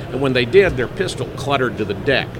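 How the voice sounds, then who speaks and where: Someone speaks at a fairly quick pace in an American accent, with noticeable background noise. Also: man. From US Midwest. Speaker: shooting school executive, former sheriff. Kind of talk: interview.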